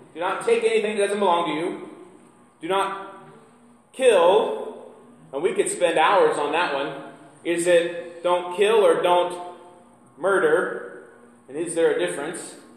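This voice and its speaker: A man with an American accent talks at a fairly slow pace with long, frequent pauses. Audible room echo surrounds his voice. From US Midwest. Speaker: pastor. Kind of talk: sermon. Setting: church. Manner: conversational, engages audience with questions. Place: church. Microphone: camera far.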